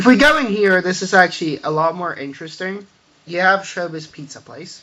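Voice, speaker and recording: A man speaks in a raised, projected voice, high in pitch. He moves at a fairly quick pace with lively intonation. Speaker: gamer showing a Minecraft build. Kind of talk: game tour walkthrough. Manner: mumbling; halting, filler-heavy.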